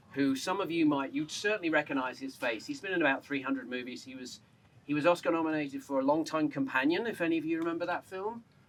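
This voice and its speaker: Speaking very fast, this man has a fairly high pitch and an English accent. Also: ordinary pitch variation. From England. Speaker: journalist. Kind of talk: public speech at memorial dedication. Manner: raised voice, talking without microphone.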